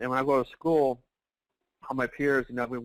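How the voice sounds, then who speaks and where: Recorded very cleanly with a silent background and a dry, close sound with no echo, a man with a Texan accent talks at a fairly quick pace in a monotone, flat intonation. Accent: Texan American English. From Texas, El Paso. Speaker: financial services marketer. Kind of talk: motivational testimony.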